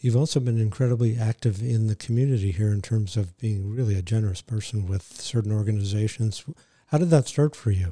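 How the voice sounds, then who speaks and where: In a fairly low, somewhat breathy voice with a dark, mellow tone, a man talks at a fairly quick pace with ordinary pitch variation. The recording is very clean, with a silent background. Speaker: psychologist podcast co-host. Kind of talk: casual interview. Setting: studio.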